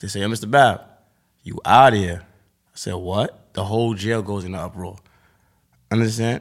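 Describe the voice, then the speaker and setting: On a very clean recording with a silent background, a man with a fairly low pitch speaks at a moderate pace with fairly even intonation, big swings in loudness and long, frequent pauses. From Harlem, New York City. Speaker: rapper. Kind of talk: interview.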